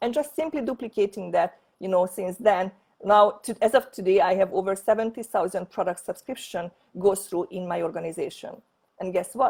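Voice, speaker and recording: With a Hungarian accent, a woman talks fairly quickly and with ordinary pitch variation. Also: medium pitch for a woman. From Hungary. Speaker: network marketing leader. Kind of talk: sales pitch. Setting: online presentation from home office. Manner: halting.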